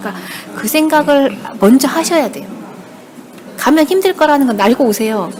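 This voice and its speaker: Over background music, a woman with a high-pitched voice talks at a fairly quick clip, her loudness swinging widely and her speech broken by long, frequent pauses. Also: lively intonation. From Jeju Island, South Korea. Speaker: newspaper reporter. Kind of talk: casual interview.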